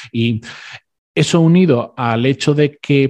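The voice has a dark, mellow tone and lively intonation. The sound is dry and close with no echo, over a quiet background. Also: man. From Spain. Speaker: former architect. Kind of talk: interview. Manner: halting.

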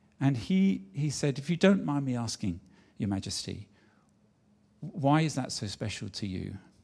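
With long, frequent pauses, a man speaks at a moderate pace and medium pitch, his dark, mellow, somewhat breathy voice making very wide pitch swings on a very clean recording with a silent background. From England. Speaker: pastor, charity representative. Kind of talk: sermon. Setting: church with audience.

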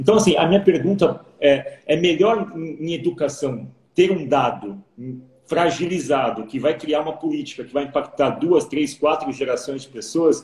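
Over noticeable background noise, a man talks at a fairly slow pace. His loudness swings widely while his pitch varies in an ordinary way. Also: fairly high pitch for a man. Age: 40s. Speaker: education specialist. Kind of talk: casual chat.

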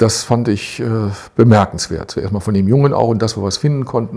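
A man talks fairly quickly in a dark, mellow voice that is somewhat breathy. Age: 60s. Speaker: retired volunteer advisor. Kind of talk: interview.

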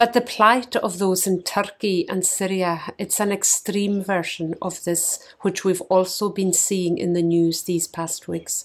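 A medium-pitched woman in a Scottish accent, monotone and flat, fairly slow with hardly any pauses. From Scotland. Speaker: missionary leader. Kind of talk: scripted devotional message.

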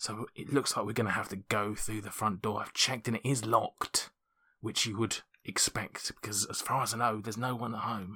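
At a fairly quick pace, a man puts on a raspy character voice with medium pitch. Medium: actual play. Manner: dry, blunt.

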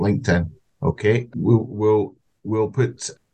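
Here a man speaks with a Scottish accent. His pitch is fairly low. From Scotland, Glasgow. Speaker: podcast co-host. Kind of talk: casual chat.

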